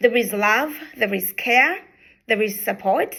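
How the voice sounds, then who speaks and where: This woman speaks with a Ugandan accent. Her pitch varies in an ordinary way. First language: Luganda. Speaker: charity founder. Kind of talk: introductory video talk. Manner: hesitant, many fillers.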